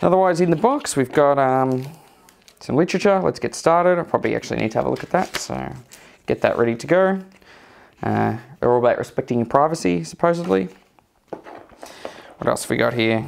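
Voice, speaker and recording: Speaking at a fairly quick pace, a man makes very wide pitch swings and takes long, frequent pauses. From Australia. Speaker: tech youtuber; tech reviewer. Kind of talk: tutorial. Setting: at home, walking around the house. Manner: casual, hesitant with many fillers. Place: home room.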